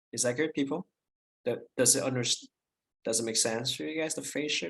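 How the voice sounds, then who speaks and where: A man with vocal fry and a medium pitch talks at a fairly quick pace, the sound dry and close with no echo. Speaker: math instructor. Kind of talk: lecture. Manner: halting, many fillers and restarts.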